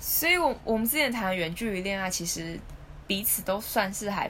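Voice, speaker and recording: With audible room echo around her, a woman speaks at a medium pitch with lively intonation. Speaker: podcast co-host. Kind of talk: casual chat. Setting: home recording.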